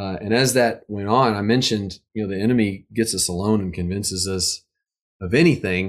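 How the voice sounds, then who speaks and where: A man with an American accent speaks in a plain, everyday voice, fairly low in pitch, at a fairly quick pace with ordinary pitch variation. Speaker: musician and recording artist. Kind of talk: casual interview chat. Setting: online video call. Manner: joking, playful.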